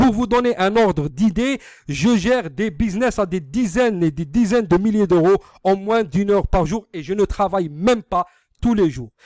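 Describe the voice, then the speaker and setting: Speaking with an Algerian accent, a man has a high pitch, ordinary pitch variation and a moderate pace. The recording is very clean with a silent background, and the sound is dry and close with no echo. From Algeria, Algiers suburbs. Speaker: online business marketer. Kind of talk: sales pitch. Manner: halting, many hesitations.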